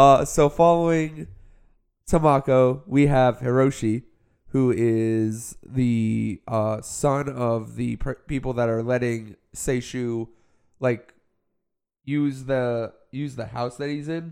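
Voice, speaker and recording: Very slow male speech at a medium pitch, intonation fairly even. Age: 20s. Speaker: podcast host. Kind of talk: casual chat.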